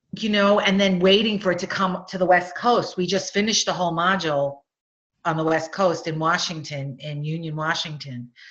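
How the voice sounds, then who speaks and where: The speaker talks at a fairly quick pace with a Long Island accent and ordinary pitch variation. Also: woman, fairly low pitch for a woman. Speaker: nurse coaching instructor. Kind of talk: webinar Q&A.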